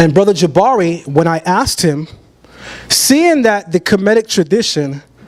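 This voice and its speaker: A man with an American accent speaks in a high pitch over noticeable background noise. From Brooklyn, New York. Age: 30s. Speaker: debater on religion. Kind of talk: debate presentation.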